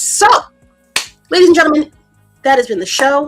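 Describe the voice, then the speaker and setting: Music plays in the background. Over it, a woman speaks at a high pitch. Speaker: comic book talk show host. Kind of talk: casual livestream chat. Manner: animated.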